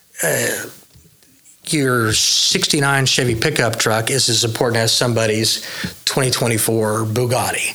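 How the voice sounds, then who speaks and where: Amid noticeable background noise and audible room echo, a man with an American accent speaks at a very slow pace and medium pitch, his intonation fairly even and his loudness very even. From Oklahoma, Midwest City. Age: 50s. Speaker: custom car builder. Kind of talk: casual interview chat.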